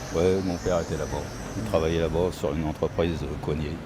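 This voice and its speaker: Amid noticeable background noise and audible room echo, a man with a very deep, low voice talks at a moderate pace with ordinary pitch variation. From Ghana, raised in France from childhood. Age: 60s. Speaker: retired municipal groundskeeper. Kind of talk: street interview.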